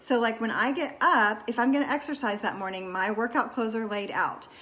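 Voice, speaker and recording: Her voice is an unremarkable speaking voice, a woman's with fairly high pitch and ordinary pitch variation. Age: 40s. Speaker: wellness vlogger. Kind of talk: casual talk to camera. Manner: casual, with many fillers.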